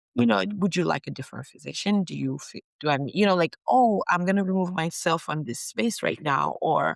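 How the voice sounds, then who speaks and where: A woman with an American accent speaks at a fairly quick pace in a very deep, low pitch with vocal fry and very wide pitch swings, captured in a dry, close sound with no echo on a very clean recording with a silent background. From Nigeria. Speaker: physician. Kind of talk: interview. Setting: podcast recording.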